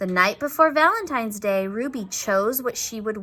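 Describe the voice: Lively intonation in plain reading aloud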